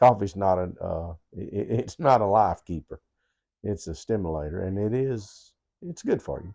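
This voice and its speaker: A man with a Southern US accent talks at a moderate pace in a fairly low pitch and a dark, mellow tone, with a dry, close sound with no echo on a very clean recording with a silent background. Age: 60s. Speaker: co-host. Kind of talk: casual chat. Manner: halting.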